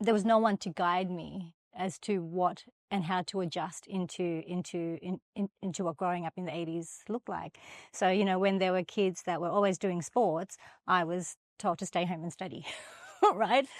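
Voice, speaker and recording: With an Australian accent and fairly even intonation, the voice sounds dry and close with no echo on a very clean recording with a silent background. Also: woman, medium pitch for a woman, moderate pace. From Australia, Sydney. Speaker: finance professional. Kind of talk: podcast interview.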